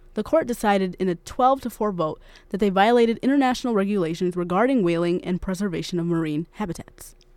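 A woman with a medium pitch talks at a very fast pace with lively intonation and hardly any pauses, over noticeable background noise. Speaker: news anchor. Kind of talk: news reading. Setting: studio. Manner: formal.

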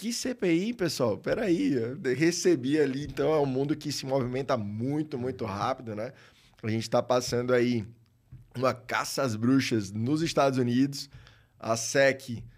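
A man with a normal speaking voice speaks at a fairly slow pace and medium pitch, with ordinary pitch variation, in a very clean recording with a silent background. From Brazil, Maceió, Alagoas. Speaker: tax lawyer. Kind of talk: casual interview.

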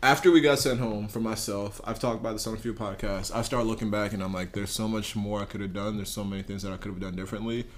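A man talks at a very fast pace in a fairly low pitch, with hardly any pauses. Audible room echo surrounds his voice. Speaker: college podcast host. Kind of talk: casual chat. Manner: animated.

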